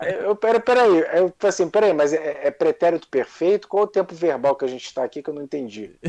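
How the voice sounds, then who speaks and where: A man's high-pitched, dark, mellow voice with a Carioca accent and lively intonation in a dry, close sound with no echo. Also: fairly quick pace, hardly any pauses. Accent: carioca Brazilian Portuguese. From Rio de Janeiro, Brazil. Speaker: monarchist activist. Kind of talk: casual chat.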